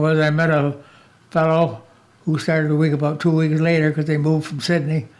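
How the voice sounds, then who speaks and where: A man with an American accent speaks at a fairly quick pace and fairly high pitch. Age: 90s. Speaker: former student. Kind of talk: interview reminiscence. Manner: halting.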